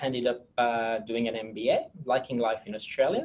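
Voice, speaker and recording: Speaking at a moderate pace, a man talks in a French accent. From France. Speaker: technology executive. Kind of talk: interview. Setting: webinar. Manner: halting, many fillers.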